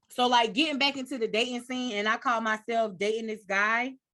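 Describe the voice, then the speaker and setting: A woman speaks loudly at a fairly high pitch in a bright, sharp tone. Her pitch varies in an ordinary way at a moderate pace. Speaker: podcast host. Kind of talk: casual chat.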